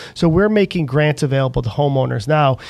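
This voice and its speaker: With an ordinary speaking voice, a man talks at a fairly quick pace in a fairly high pitch, with ordinary pitch variation. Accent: American. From upstate New York (Auburn). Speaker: local politician. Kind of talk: interview.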